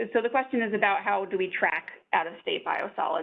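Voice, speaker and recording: Loud and lively in intonation, a woman speaks at a moderate pace. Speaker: state environmental agency staff presenter. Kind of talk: webinar Q&A answering questions. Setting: online webinar.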